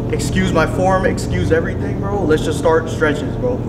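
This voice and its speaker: A man's speech moves at a fairly quick clip, with loud noise all around. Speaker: vlogger. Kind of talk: casual vlog chat. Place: gym. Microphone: phone near.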